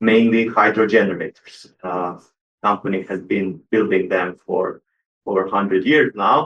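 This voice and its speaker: With a Croatian accent, a man speaks at a fairly low pitch, moderate pace and ordinary pitch variation. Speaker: electrical engineer. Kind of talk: panel introduction. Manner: hesitant, many fillers.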